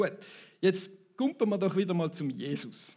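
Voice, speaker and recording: A man with a Thurgau accent speaks at a moderate pace in a high voice, on a very clean recording with a silent background. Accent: Thurgau Swiss German dialect. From Switzerland, Thurgau. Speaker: preacher. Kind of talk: sermon. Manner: conversational, audience interaction.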